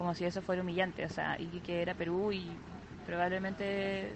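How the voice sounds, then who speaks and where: A woman speaks over noticeable background noise. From northern Chile, Iquique. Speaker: listener sending voice message. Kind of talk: voice message anecdote.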